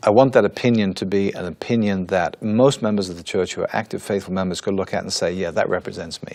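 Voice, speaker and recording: A man with an English accent at a very fast pace, fairly low in pitch, ordinary pitch variation, hardly any pauses. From England. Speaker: church spokesman. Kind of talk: interview.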